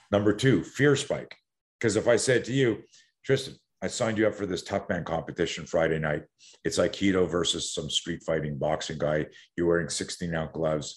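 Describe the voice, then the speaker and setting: Against a quiet background, a man talks with lively intonation and an animated tone. His pitch is very deep and low. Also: moderate pace. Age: 60s. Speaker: self-defense coach. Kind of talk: casual interview.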